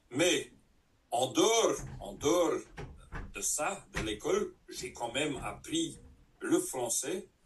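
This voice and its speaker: A man with a Dutch accent speaks at a very slow pace, with long, frequent pauses and big swings in loudness. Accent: Dutch-speaking accent in French. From Flanders, Belgium. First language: Dutch (speaking French). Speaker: network marketing trainer. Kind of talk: training session. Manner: halting.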